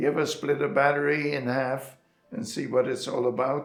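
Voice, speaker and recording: A man talks at a fairly slow pace. Behind him, music can be heard. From Germany. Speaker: Holocaust survivor. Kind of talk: interview answer.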